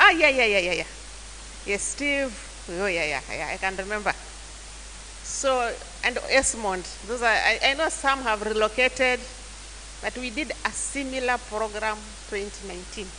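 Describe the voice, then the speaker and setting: A woman speaks at a moderate pace with long, frequent pauses, her voice carrying audible room echo over noticeable background noise. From Kenya, Taita. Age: 60s. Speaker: church elder and youth mentor. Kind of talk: mentorship talk to church youth. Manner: halting.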